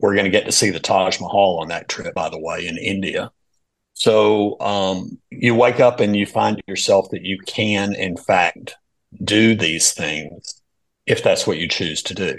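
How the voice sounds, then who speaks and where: A man's fairly slow speech in a Southern US accent. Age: 60s. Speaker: financial advisor. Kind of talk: casual chat. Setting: remote call.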